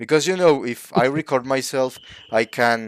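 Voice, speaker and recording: A man speaks with a Spanish accent at a medium pitch. His pitch varies in an ordinary way. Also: dry, close sound with no echo. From Mexico. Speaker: channel host. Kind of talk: casual online discussion. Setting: live online stream. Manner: halting, searching for words.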